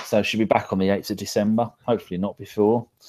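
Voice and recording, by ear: A man talks fast in a fairly low pitch with little pitch movement. His tone is slightly mellow.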